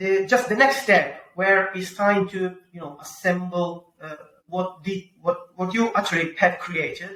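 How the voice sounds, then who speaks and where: A man with a strong Italian accent uses a raised, projected voice at a high pitch. He speaks at a moderate pace, with long, frequent pauses and big swings in loudness. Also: ordinary pitch variation. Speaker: pizza-making YouTuber. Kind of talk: podcast interview. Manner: halting, many fillers; talks with his hands.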